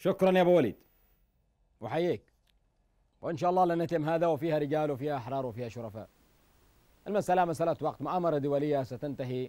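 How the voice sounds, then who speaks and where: Talking at a fairly quick pace, a man with a fairly high-pitched, dark, mellow tone and ordinary pitch variation is heard in dry sound with no echo against a quiet background. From Yemen. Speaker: TV call-in show host. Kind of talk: political call-in show. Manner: impassioned. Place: studio. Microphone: lapel.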